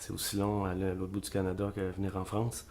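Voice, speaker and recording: A man speaks with a Quebec accent. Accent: Québécois French. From Quebec, La Tuque. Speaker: singer-songwriter. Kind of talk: interview. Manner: hesitant, many fillers.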